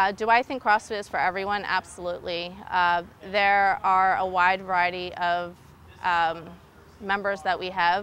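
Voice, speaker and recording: In a bright, sharp tone, a woman speaks at a moderate pace with monotone, flat intonation, the sound dry with no echo. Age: 30s. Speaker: nurse anesthetist and gym member. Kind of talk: interview answers. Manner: hesitant, many fillers. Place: gym. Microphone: lapel.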